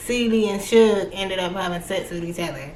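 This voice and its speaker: A woman speaks with an American accent at a fairly slow pace. Her pitch variation is ordinary, and there is audible room echo. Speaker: book reviewer, YouTuber. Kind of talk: casual book review vlog. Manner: animated.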